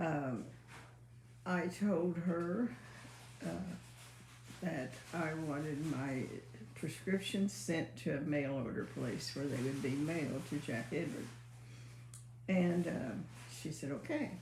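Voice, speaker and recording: Soft-spoken and very slow, a woman with a very deep, low pitch uses lively intonation and long, frequent pauses, amid audible room echo and noticeable background noise. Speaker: mother, co-host. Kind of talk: casual chat. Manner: quiet, soft-spoken; halting.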